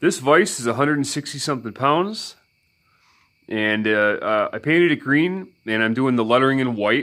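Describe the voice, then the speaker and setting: The tone is bright and sharp, delivered at a moderate pace. The recording is very clean, with a silent background. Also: man. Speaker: vise restoration hobbyist, YouTuber. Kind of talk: casual vlog talk to viewers. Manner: halting, many fillers.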